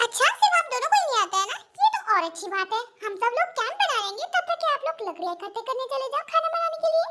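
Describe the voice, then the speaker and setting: In a put-on character voice, a woman speaks at a very fast pace with extremely high pitch and lively intonation. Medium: fan dub. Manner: firm, commanding.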